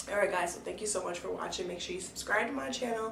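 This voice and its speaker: A woman's voice with fairly even intonation, audible room echo, and noticeable background noise. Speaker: hair care vlogger. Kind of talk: casual vlog talk. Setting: bathroom with door closed.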